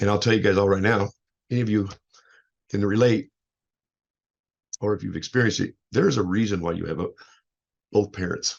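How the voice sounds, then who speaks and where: Speaking at a fairly quick pace, a man leaves long, frequent pauses. His pitch is fairly low, and his intonation is fairly even. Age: 50s. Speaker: life coach and motivational speaker. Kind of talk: casual show introduction monologue. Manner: loud; halting, repetitive.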